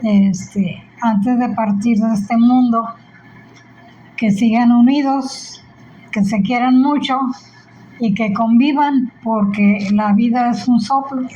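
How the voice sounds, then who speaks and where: Over background music, a woman with a fairly high voice talks at a very slow pace, her intonation fairly even and her speech broken by long, frequent pauses. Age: 80s+. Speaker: grandmother. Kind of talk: family interview.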